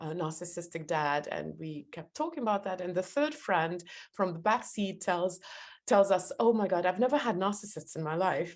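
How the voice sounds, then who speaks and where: Over a quiet background, someone speaks with a strong non-native accent and lively intonation. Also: woman, medium pitch for a woman, moderate pace. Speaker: podcast host, interviewer. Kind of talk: reading aloud; interview. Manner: halting, many fillers.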